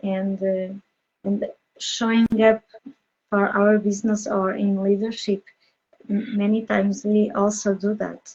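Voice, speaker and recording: A woman speaks at a medium pitch and a fairly slow pace. Her intonation is flat and monotone. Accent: non-native. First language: not English. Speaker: podcast host, business coach. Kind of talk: interview. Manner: halting, many fillers.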